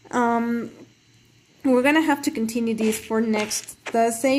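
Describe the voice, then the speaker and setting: A high-pitched woman at a moderate pace with ordinary pitch variation, over noticeable background noise. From not Britain. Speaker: gaming live streamer. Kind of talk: casual live stream chat. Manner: hesitant, many fillers.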